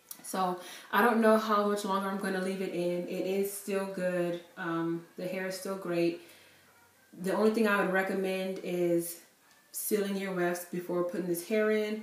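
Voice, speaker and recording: Audible room echo surrounds a woman who speaks at a moderate pace with monotone, flat intonation. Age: 20s. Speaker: beauty vlogger. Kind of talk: product review. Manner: casual, filler-heavy. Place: home room. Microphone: camera far.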